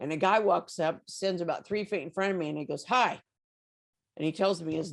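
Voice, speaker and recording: Her intonation lively, a woman speaks at a moderate pace and a fairly low pitch. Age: 60s. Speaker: faith filmmaker and network founder. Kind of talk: podcast interview. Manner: animated.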